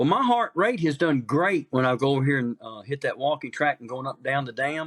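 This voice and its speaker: A man with an unremarkable speaking voice talks at a fairly quick pace with lively intonation. The recording is very clean and dry, with a silent background, a close sound and no echo. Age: 60s. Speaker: pastor and backpacker. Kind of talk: casual chat.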